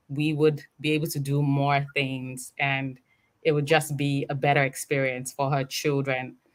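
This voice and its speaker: Her voice is very deep and low-pitched, with monotone, flat intonation at a fairly slow pace. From Nigeria. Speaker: interview guest, immigrant mother. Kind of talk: interview.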